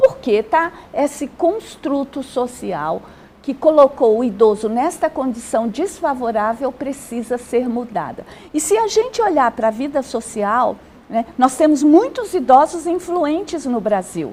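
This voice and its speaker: A woman speaks at a high pitch with very wide pitch swings and a fairly slow pace. Background noise is noticeable. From Brazil. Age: 60s. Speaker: social worker and gerontologist. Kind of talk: TV interview. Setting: TV studio.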